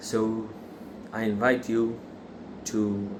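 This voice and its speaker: A man's very slow, monotone delivery at medium pitch, flat in intonation, with audible room echo. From Israel. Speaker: factory worker sharing religious views. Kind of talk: religious monologue. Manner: halting, many fillers.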